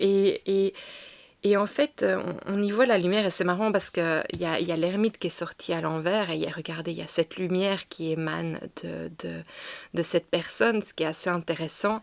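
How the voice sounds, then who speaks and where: With a strong Belgian accent, a woman talks at a fairly quick pace. Her pitch is fairly low, with ordinary pitch variation. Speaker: tarot reader. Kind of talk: tarot channeling reading. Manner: halting, many fillers.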